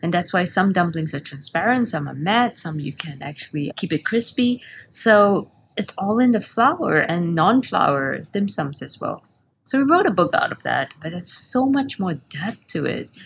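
Somewhat breathy, a woman talks at a moderate pace in a medium pitch. Her pitch swings very widely. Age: 30s. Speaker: pastry chef and business owner. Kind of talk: interview.

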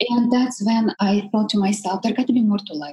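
A woman talks with a Russian accent. Her tone is dark and mellow, and somewhat breathy. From Russia, Siberia. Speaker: life coach. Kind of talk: interview.

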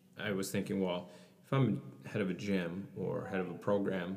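Over noticeable background noise, a man with a Canadian accent speaks in a very deep, low pitch. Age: 30s. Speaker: gym owner and fitness coach. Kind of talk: casual interview chat. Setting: studio.

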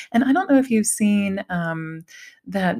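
A woman's somewhat breathy, medium-pitched voice with an American accent and lively intonation, on a very clean recording with a silent background. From Ohio, US Midwest. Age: 40s. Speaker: podcast host, mother. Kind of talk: casual interview chat.

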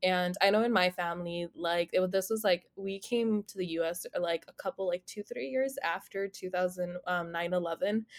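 In a plain, everyday voice, a woman talks at a moderate pace with hardly any pauses, a medium pitch and ordinary pitch variation, the sound dry and close with no echo. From US, raised from age six (born India). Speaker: podcast co-host. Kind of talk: casual panel discussion.

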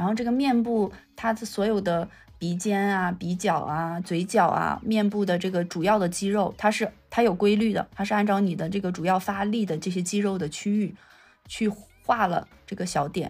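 At a moderate pace, a woman speaks in a somewhat breathy voice with a medium pitch and fairly even intonation. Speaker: digital cinema technology researcher. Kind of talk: casual interview.

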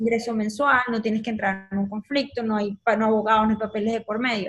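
With a Venezuelan accent, a woman talks at a fairly quick pace in a somewhat breathy, fairly high voice. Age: 30s. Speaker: communicator and entrepreneur. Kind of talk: casual interview chat.

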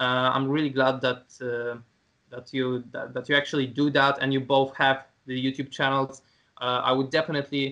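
Monotone and flat, a man talks at a medium pitch and moderate pace. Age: 20s. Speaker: calisthenics content creator. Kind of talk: casual interview.

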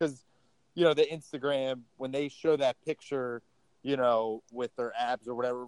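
A man talks in an ordinary speaking voice at medium pitch and a moderate pace. His intonation is fairly even, and the sound is dry and close with no echo. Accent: American. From Baltimore, Maryland. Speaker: gym owner and fitness trainer. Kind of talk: casual interview chat.

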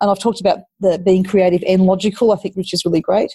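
A woman's very fast, somewhat breathy Australian-accented voice, dark and mellow in tone, medium-pitched, with fairly even intonation and a dry, close sound free of echo. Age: 50s. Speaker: mayor. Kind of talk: interview.

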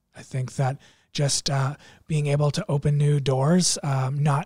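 This man's voice is fairly high and somewhat breathy, with monotone, flat intonation. He speaks at a moderate pace in a dry, close sound with no echo. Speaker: youth pastor. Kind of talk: casual podcast chat.

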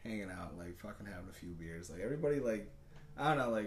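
A man talks at a very fast pace. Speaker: podcast co-host. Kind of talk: casual chat. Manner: animated.

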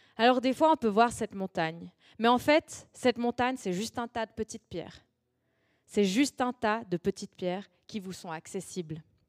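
A plain, everyday voice, a woman's at fairly high pitch, lively in intonation and at a moderate pace with big swings in loudness, on a very clean recording with a silent background and a dry, close sound with no echo. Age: 20s. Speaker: youth preacher. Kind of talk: sermon.

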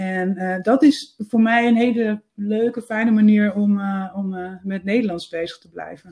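Fairly slow and somewhat breathy, the dark, mellow voice keeps fairly even intonation but swings widely in loudness. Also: woman, medium pitch for a woman. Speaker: freelance copywriter and editor. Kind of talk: interview.

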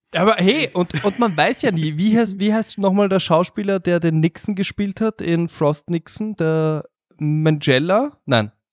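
Speaking at a fairly slow pace, a man with a high pitch shows ordinary pitch variation in a dry, close sound with no echo. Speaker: film podcaster. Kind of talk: casual chat.

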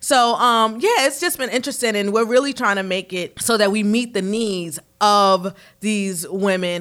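A woman speaks in a New York accent. The recording is very clean, with a silent background. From New York, Harlem. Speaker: marketing director and PR agency owner. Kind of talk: casual chat.

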